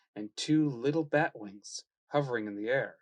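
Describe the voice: The speaker uses plain reading aloud. The background is quiet.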